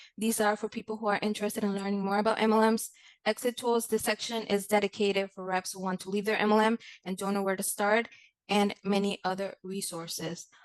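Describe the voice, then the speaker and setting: A woman with a Spanish accent talks at a very fast pace and medium pitch. Her intonation is monotone and flat, with a dry, close sound and no echo. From Mexico. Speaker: content creator. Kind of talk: conference presentation. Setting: conference. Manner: formal.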